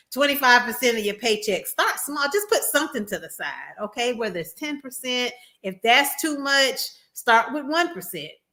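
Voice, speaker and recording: A woman's raised, projected voice, high in pitch and bright and sharp in tone, with very wide pitch swings, big swings in loudness and a moderate pace. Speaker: registered nurse and tech livestreamer. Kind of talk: livestream advice talk. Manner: casual, conversational.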